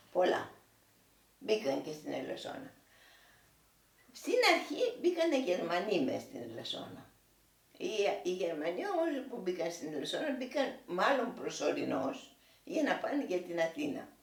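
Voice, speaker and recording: A woman talks with very wide pitch swings and long, frequent pauses. Audible room echo and noticeable background noise fill the recording. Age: 80s+. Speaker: war witness. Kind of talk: oral history interview. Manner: halting.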